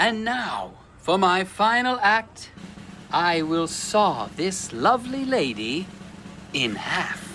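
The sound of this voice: Putting on a character voice, a man talks slowly at a high pitch with big pitch swings and a bright, sharp tone, over faint background noise.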